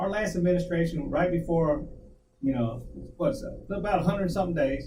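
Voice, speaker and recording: A man with an American accent talks at a fairly quick pace in a high pitch, with audible room echo. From US, child of Guamanian parents. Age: 60s. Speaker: talk show co-host. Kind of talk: casual chat. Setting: live stream.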